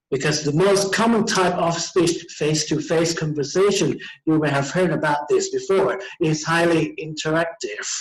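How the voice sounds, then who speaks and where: Loudness stays very even and intonation fairly even, with audible room echo around the voice. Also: man, high pitch for a man, moderate pace. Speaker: teacher. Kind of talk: lecture. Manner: halting.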